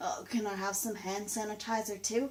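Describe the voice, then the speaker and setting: A woman mumbles in a put-on character voice at a moderate pace, her medium pitch showing ordinary variation. Clear background noise is audible. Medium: solo performance. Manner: confused, mumbling.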